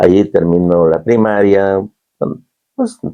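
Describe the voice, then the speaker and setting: Here a man talks at a very slow pace with fairly low pitch. His tone is dark and mellow. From Zumpango, State of Mexico. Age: 70s. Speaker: community service club president. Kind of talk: radio interview. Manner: halting.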